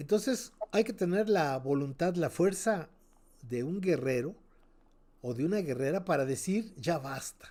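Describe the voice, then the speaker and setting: A man speaks in a high pitch with very wide pitch swings. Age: 70s. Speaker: cultural teacher, interviewee. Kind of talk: radio interview. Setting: radio program.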